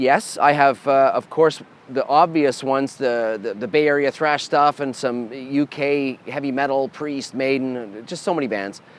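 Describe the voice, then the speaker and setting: With hardly any pauses, a man speaks at a fairly slow pace in a fairly high pitch with ordinary pitch variation, against noticeable background noise. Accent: Canadian. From Canada. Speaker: metal guitarist and band leader. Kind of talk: answering fan questions. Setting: bar.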